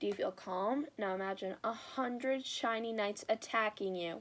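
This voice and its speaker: In a put-on character voice, a woman sounds squeaky at a fairly high pitch, with ordinary pitch variation and a moderate pace, in a very clean recording over a silent background. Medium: read story. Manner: timid, stammering.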